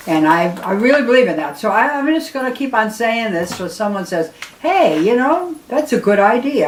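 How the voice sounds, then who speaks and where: A woman speaks with very wide pitch swings against noticeable background noise. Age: 80s+. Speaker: retired nurse educator. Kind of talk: tutorial. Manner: halting.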